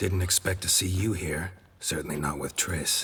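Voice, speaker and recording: The speaker performs a put-on character voice and keeps a moderate pace. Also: man, very deep, low pitch for a man. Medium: video game. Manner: terse, dry.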